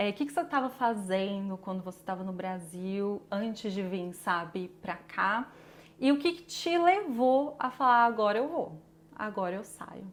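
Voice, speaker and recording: Using a normal speaking voice, a woman talks at a medium pitch with lively intonation. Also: fairly slow pace. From Brazil, interior São Paulo (Batatais). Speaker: podcast host. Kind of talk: casual interview.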